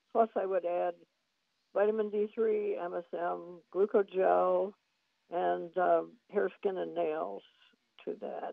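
The pace is very slow. Long pauses come often. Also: woman. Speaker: supplement business associate. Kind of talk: radio advice conversation.

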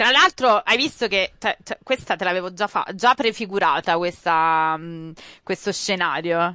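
Over a quiet background with a dry, close sound and no echo, a woman speaks at a fairly slow pace and medium pitch, her tone animated, bright and sharp, with ordinary pitch variation. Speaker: wrestling pundit. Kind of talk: casual chat.

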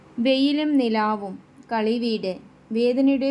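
Here is a woman with an ordinary speaking voice. Her pitch is fairly high, with ordinary pitch variation. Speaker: YouTube quiz and exam-prep presenter. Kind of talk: quiz-style tutorial.

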